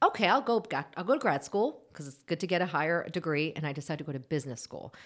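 A woman with an American accent at a fairly low pitch, lively intonation and a very fast pace, in a very clean recording with a silent background. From United States, raised from infancy after birth in Seoul. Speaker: marriage and family therapist. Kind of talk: interview.

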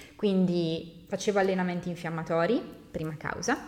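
The pace is moderate, with ordinary pitch variation. Noticeable background noise runs underneath. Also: woman. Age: 20s. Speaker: fitness coach. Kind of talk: podcast monologue.

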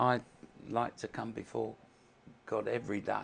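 The voice has noticeable vocal fry. The background is quiet. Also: man. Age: 70s. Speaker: former powerlifting champion, carpenter. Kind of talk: testimony, personal story. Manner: earnest, repeats words, halting.

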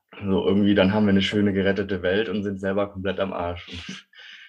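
A man with a fairly low pitch is talking. He goes very fast. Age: 20s. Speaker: climate activist and bike courier. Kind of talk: interview.

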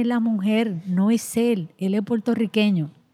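This woman has a dark, mellow, somewhat breathy tone at a medium pitch. She speaks at a fairly slow pace with ordinary pitch variation. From Dominican Republic, rural La Vega. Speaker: women's rights activist, nonprofit director. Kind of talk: interview. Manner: halting, repeats words.

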